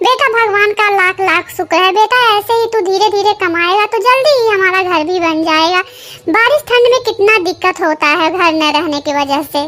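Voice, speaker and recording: A woman performs a cartoonish character voice at an extremely high pitch. Her intonation is lively, her loudness very even and her pace moderate. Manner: affectionate, homely.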